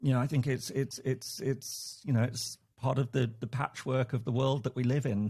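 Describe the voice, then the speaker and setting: A man with an English accent speaks at a moderate pace in a somewhat breathy, dark, mellow tone, his loudness very even and his intonation fairly even. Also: medium pitch for a man. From England. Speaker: professor. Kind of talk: casual chat. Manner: halting, many repetitions.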